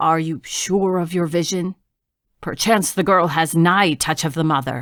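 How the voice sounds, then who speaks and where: Using a put-on character voice, the speaker sounds gruff at a middle pitch and moderate pace, on a very clean recording with a silent background. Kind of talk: archaic fantasy speech. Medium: read story. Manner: low, protective.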